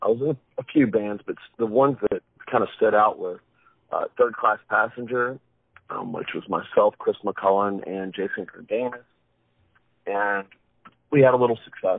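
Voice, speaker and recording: A man with an American accent speaks at a moderate pace, leaving long, frequent pauses. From Wilmington, North Carolina. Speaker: rock singer-songwriter. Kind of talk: interview.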